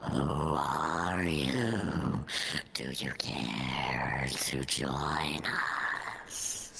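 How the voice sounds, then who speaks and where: A put-on character voice with a very deep, low pitch moves at a very slow pace over clear background noise. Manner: ominous.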